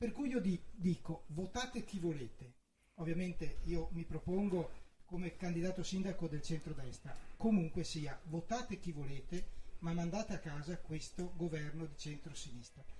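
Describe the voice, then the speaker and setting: Music plays in the background as a man speaks at a high pitch with ordinary pitch variation. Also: moderate pace. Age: 50s. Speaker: nurse and regional councillor, mayoral candidate. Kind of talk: election debate. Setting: radio studio.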